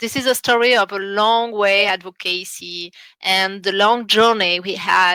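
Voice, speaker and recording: A woman speaks with a French accent at medium pitch. Her tone is bright and sharp, with ordinary pitch variation. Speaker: international relations officer at a library school. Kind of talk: online seminar presentation. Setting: online seminar. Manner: halting, many fillers.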